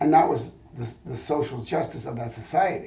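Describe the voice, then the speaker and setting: A man's voice at medium pitch and moderate pace, with ordinary pitch variation, noticeable background noise and audible room echo. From France (Paris). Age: 70s. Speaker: history professor. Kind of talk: oral history interview. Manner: halting, many fillers.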